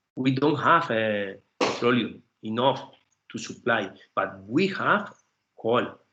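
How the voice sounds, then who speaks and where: A man talks at a very slow pace with a Spanish accent. His pitch sits in the medium range. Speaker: professor, invited seminar speaker. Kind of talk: academic seminar Q&A. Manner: halting, hesitant English.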